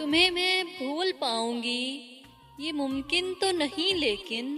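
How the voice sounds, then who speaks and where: Over music in the background, a woman uses a raised, projected, high-pitched voice with lively intonation. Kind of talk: poetry reading. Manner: emotional.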